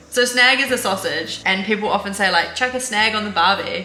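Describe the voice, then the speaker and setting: A woman at a medium pitch over noticeable background noise. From New Zealand. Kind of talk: casual talk to camera.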